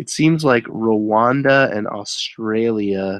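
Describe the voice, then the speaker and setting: A man speaks at a very slow pace with ordinary pitch variation. The sound is dry with no echo, over a quiet background. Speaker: eBay reseller and live streamer; eBay reseller, live streamer. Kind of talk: casual live stream chat. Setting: live online broadcast with screen sharing. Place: home room.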